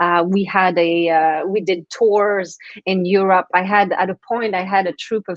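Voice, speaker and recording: Speaking with a Quebec French accent, a woman uses a medium pitch and monotone, flat intonation at a fairly slow pace. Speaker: transformation coach and author. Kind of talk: interview. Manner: halting.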